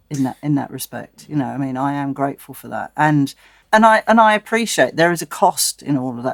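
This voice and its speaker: A woman speaks at a very deep, low pitch. The sound is dry and close, with no echo. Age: 60s. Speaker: musician. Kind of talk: interview.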